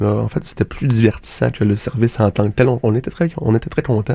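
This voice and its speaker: This man has a dark, mellow tone and a medium pitch. He speaks with a Quebec accent. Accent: Québécois French. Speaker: radio comedy host. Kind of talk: absurd comedic monologue. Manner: halting, many fillers.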